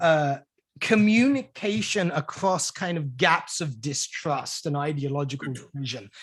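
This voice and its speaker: A bright, sharp tone with very wide pitch swings, in a British accent. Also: man. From United Kingdom. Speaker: podcast host. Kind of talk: interview. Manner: halting.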